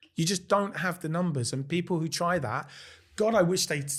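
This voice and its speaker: In a very clean recording with a silent background, a man with a London accent and a high pitch speaks at a moderate pace. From London, England. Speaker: restaurant owner. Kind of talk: casual chat. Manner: halting.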